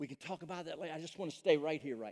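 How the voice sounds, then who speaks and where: The sound is dry and close with no echo as a man speaks with ordinary pitch variation. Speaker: pastor. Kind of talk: sermon. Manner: loud.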